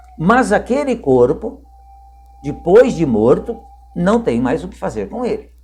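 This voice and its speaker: Music plays in the background while a man talks very slowly. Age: 60s. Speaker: spiritist lecturer. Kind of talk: religious talk to camera.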